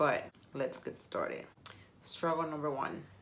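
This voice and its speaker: A woman with a Spanish accent speaks in a very deep, low pitch with an animated tone at a fairly quick pace. Room echo can be heard. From Puerto Rico. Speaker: vlogger. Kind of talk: casual vlog talk to camera.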